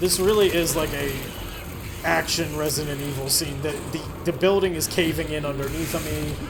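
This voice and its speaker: A man talks at a fairly quick pace in an animated tone. The room echoes audibly and background noise is noticeable. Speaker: gaming video host. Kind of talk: let's play commentary. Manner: casual, animated.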